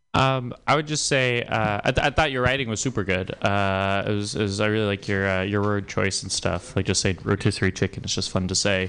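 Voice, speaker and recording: In a quiet setting, a fairly low-pitched man talks at a fairly quick pace with hardly any pauses and ordinary pitch variation. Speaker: stand-up comedian. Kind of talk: stand-up. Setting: stage with audience. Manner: halting.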